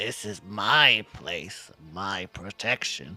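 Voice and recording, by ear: A raspy, put-on character voice at a very slow pace. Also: man, fairly low pitch for a man.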